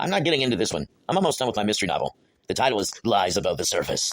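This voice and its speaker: At a very fast pace, a man performs a cartoonish character voice with very wide pitch swings. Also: medium pitch for a man. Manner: dry, exasperated.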